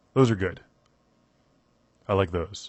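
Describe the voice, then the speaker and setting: The man speaks with ordinary pitch variation. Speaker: video game reviewer. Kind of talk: casual Q&A answering viewer questions. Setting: home microphone, audio only.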